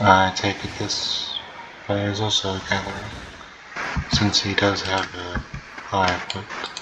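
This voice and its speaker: A soft-spoken man at fairly low pitch, slow-ish and monotone with flat intonation, long, frequent pauses and noticeable background noise. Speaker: gaming video creator. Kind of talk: gameplay commentary.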